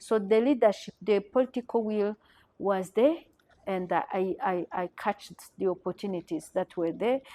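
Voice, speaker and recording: A woman with a Rwandan accent speaks at a moderate pace and medium pitch, with ordinary pitch variation and a dark, mellow tone, in a dry, close sound with no echo. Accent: Rwandan francophone accent in English. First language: French. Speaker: journalist, genocide survivor. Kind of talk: interview testimony. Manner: halting, many repeated words.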